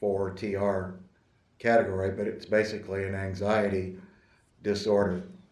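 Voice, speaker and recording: In a room with audible echo, a man speaks slowly at a fairly low pitch with monotone, flat intonation. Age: 60s. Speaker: attorney in disciplinary case. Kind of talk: court hearing statement. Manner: formal.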